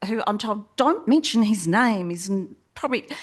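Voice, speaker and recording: Over a quiet background, a woman with an Australian accent speaks at a fairly high pitch. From South Australia, Port Adelaide. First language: not English. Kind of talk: panel discussion. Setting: stage with audience.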